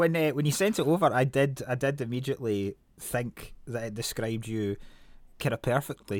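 A man at a moderate pace in a very clean recording with a silent background, the sound dry and close with no echo. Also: medium pitch for a man, ordinary pitch variation. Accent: Scottish. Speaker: podcast host. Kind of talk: casual chat.

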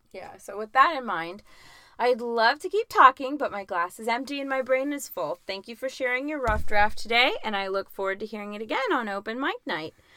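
A woman speaks at a fairly high pitch with a bright, sharp tone and a fairly quick pace. Her loudness swings widely and her intonation is lively. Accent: American. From US, grew up in Augusta, Georgia from age nine. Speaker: podcast co-host and writer. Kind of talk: casual chat.

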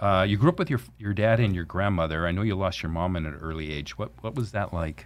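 Speaking at a fairly quick pace, a man with an unremarkable speaking voice keeps a fairly low pitch and ordinary pitch variation. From Orange County, California. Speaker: financial planner podcast host. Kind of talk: casual interview. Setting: studio.

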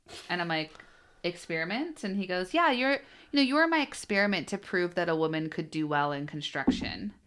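A woman's medium-pitched voice with very wide pitch swings and a fairly quick pace, on a very clean recording with a silent background. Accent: American. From US Pacific Northwest (Bellingham, Washington). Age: 30s. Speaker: company CEO, former solar salesperson. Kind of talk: interview, casual chat.

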